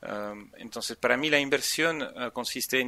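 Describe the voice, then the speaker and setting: A man's bright, sharp tone at a fairly slow pace, in a dry, close sound with no echo. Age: 40s. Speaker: entrepreneur and angel investor. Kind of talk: interview. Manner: halting, many repeated words.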